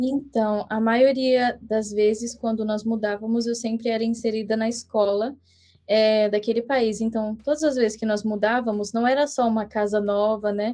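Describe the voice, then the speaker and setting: A woman speaks at a moderate pace with a fairly high pitch. Her tone is dark and mellow, and her intonation stays monotone and flat. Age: young. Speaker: missionary. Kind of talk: podcast interview.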